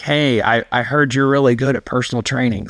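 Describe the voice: In a raspy, put-on character voice, a man talks at a fairly quick pace with a medium pitch.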